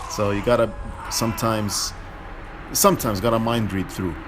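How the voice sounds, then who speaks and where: With music in the background, a man speaks at a fairly quick pace using fairly even intonation. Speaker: video game player. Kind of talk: casual gameplay commentary. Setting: home recording, lower audio quality. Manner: hesitant, many filler words.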